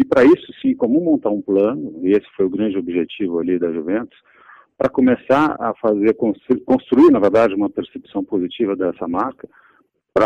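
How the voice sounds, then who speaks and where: A man speaks in an unremarkable speaking voice. His pace is moderate. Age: 40s. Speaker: branding consultancy executive. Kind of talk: interview.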